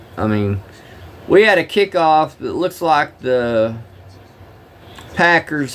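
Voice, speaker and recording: A man speaks with a strong Southern US accent. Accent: thick Southern drawl. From Oklahoma. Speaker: live-streamer, former truck driver. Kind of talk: casual live-stream chat with game commentary. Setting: live stream at home.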